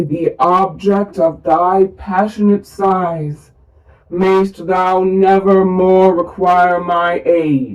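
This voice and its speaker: Someone performs a put-on character voice at a middle pitch. The delivery is very slow. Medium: read story. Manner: solemn, unhurried.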